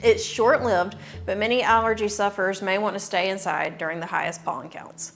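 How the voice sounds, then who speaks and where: Woman with a Southern US accent, medium pitch and ordinary pitch variation, at a moderate pace over background music. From US South, northwest Georgia. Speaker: realtor. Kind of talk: scripted informational video.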